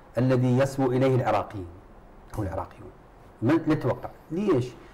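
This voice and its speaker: Somewhat breathy, a man with a fairly high pitch and a dark, mellow tone speaks at a moderate pace with ordinary pitch variation. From Iraq. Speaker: politician from a parliamentary coalition. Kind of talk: televised political debate. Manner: animated. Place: studio.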